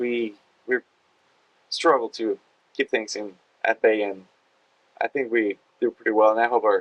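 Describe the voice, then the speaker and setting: A man with a Spanish accent talks at a fairly quick pace with long, frequent pauses. The sound is dry and close, with no echo. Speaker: hospitality team member. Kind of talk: casual podcast chat.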